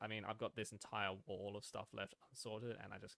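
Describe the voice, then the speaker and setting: Heard through a dry, close sound with no echo, a man talks at a moderate pace and medium pitch. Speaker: gaming youtuber. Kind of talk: casual gameplay commentary. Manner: halting, many fillers and repeats.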